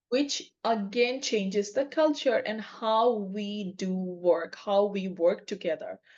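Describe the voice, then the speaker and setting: A woman with a non-native accent speaks at a medium pitch and a very slow pace, with ordinary pitch variation, hardly any pauses and a quiet background. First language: not English. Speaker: podcast co-host, agile coach. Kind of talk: casual chat.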